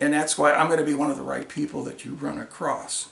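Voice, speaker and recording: Audible room echo hangs on the voice. The speaker is a man talking fairly quickly. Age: 60s. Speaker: congressional candidate and Vietnam veteran. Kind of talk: political video monologue. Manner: angry, confrontational.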